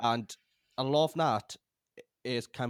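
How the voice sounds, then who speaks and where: A man in a British accent, with ordinary pitch variation and a dry, close sound with no echo. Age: 20s. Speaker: podcast host and filmmaker. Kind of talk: interview. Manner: halting.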